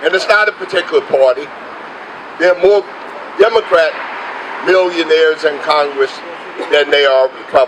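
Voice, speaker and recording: A man with a high-pitched voice talks at a moderate pace with long, frequent pauses, very even loudness and ordinary pitch variation, over noticeable background noise. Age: 60s. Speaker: union leader. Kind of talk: rally speech. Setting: outdoor demonstration.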